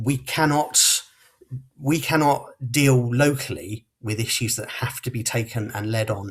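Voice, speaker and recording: A man with a southern English accent talks at a medium pitch, his voice somewhat breathy and his pitch varying in an ordinary way. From southern England, Portsmouth. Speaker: local election candidate. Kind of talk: closing campaign speech. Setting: podcast hustings.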